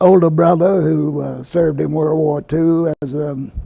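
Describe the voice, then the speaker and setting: In an American accent, a man speaks with a fairly high pitch and fairly even intonation. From Virginia, Lynchburg. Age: 70s. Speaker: retired health physicist. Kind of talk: oral history interview. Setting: at a professional conference.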